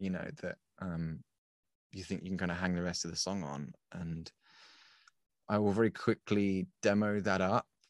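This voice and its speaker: A man's very deep, low voice at a moderate pace, fairly even intonation, long and frequent pauses, and a dry, close sound with no echo. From UK. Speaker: musician. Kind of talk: interview. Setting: remote call.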